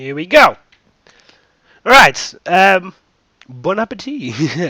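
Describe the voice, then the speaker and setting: A man talks at a very slow pace while his pitch swings very widely. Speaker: gaming youtuber. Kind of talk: let's play commentary. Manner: hesitant with fillers.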